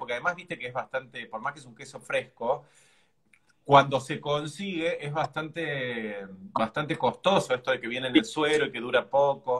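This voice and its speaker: Against a quiet background, a man speaks at a fairly slow pace with a fairly high pitch. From Argentina. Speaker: cooking show host. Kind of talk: casual chat. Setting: live stream video. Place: home room.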